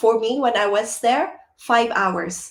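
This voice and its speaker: A woman with a Filipino accent, speaking at a fairly slow pace. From Philippines. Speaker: etiquette and cabin crew trainer. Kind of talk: webinar presentation. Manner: filler words.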